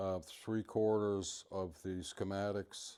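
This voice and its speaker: In a very clean recording with a silent background, a man with a very deep, low pitch speaks in a dark, mellow tone and a monotone, flat intonation. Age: 60s. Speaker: classic car owner. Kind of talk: casual show-and-tell interview. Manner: halting, many fillers.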